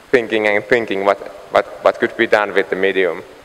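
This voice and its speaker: Fairly low-pitched man amid noticeable background noise. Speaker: light painting artist. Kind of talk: conference talk. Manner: halting, many fillers.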